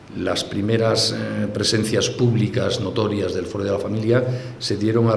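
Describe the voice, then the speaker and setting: Through noticeable background noise and audible room echo, a man speaks at a moderate pace and a fairly low pitch with fairly even intonation. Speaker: family advocacy leader. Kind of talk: conference talk.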